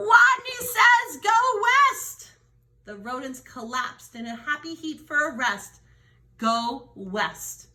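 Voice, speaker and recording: A woman puts on a squeaky character voice, high-pitched and delivered at a very slow pace. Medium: read story.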